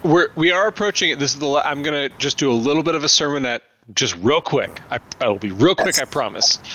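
Talking at a very fast pace, a man with a fairly high pitch uses lively intonation. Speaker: pastor and podcast host. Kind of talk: casual interview chat. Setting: virtual recording, online call. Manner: animated, tends to talk loudly.

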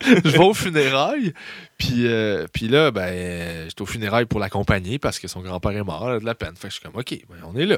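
Speaking fast-ish with a Quebec accent, a man at a medium pitch makes very wide pitch swings and big swings in loudness. The very clean recording has a silent background and a dry, close sound with no echo. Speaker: stand-up comedian. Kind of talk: casual chat.

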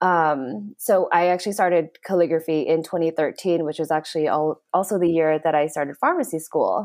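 Hardly pausing, a woman speaks at a fairly quick pace with ordinary pitch variation. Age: 30s. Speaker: calligrapher and pharmacist. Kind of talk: interview.

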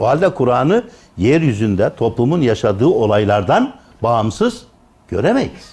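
A man talks at a moderate pace and a medium pitch. His intonation is lively. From Turkey, Tokat. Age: 60s. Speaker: retired theology professor. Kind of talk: lecture.

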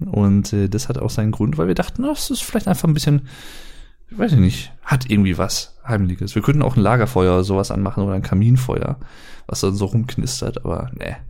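This man has an ordinary speaking voice at a fairly low pitch. He talks at a fairly quick pace with lively intonation. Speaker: podcast co-host. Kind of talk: casual chat. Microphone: poor audio quality, less noise removal.

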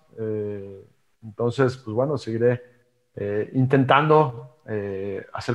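A man talks at a very slow pace in a medium pitch. His pitch varies in an ordinary way. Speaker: former amateur golfer and entrepreneur. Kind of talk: interview. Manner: halting, many fillers and repetitions.

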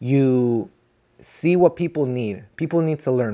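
A man's ordinary speaking voice at medium pitch, with ordinary pitch variation and a fairly slow pace. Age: 20s. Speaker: podcaster. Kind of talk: solo monologue. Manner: rambling, stream of consciousness.

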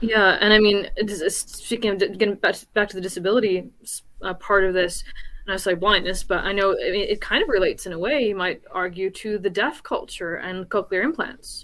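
At a moderate pace, a woman with an American accent talks in an unremarkable speaking voice of medium pitch and ordinary pitch variation. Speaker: panelist. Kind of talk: panel discussion.

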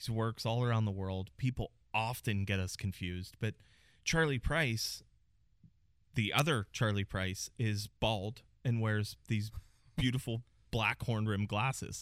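An American accent with ordinary pitch variation and long, frequent pauses, in a very clean recording with a silent background. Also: man, fairly low pitch for a man. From Pittsburgh, Pennsylvania. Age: 40s. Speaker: salon owner. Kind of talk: casual interview.

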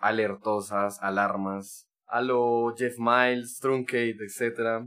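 The recording is very clean, with a silent background. A man speaks at a medium pitch in a monotone, flat intonation. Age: 20s. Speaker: techno DJ and producer. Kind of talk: casual interview.

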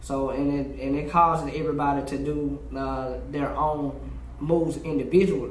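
A man with an American accent and a fairly high pitch talks at a moderate pace in a monotone, flat intonation, with audible room echo and noticeable background noise. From US South, North Memphis, Tennessee. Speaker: street dancer and dance teacher. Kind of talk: interview.

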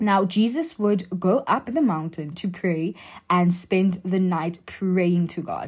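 In a very clean recording with a silent background, a woman's somewhat breathy, medium-pitched voice shows ordinary pitch variation. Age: young (about 19). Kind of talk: faith talk monologue. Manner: casual, filler-heavy speech.

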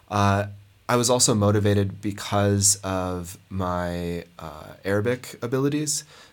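In an ordinary speaking voice, a man with an American accent talks at a fairly slow pace, his pitch fairly low with ordinary variation. The recording is very clean, with a silent background. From Montana, US. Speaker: anthropologist. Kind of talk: research interview.

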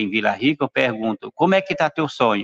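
In a dry, close sound with no echo, a man talks at a very fast pace with lively intonation. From Brazil, São Paulo. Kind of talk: panel discussion testimony. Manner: hesitant, many fillers. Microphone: unstable internet connection.

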